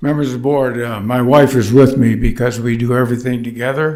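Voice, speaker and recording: Against audible room echo, a man speaks in a monotone, flat way at a moderate pace. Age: 80s+. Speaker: resident speaking at public hearing. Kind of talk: public comment at government hearing. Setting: county board meeting room. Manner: halting, many fillers.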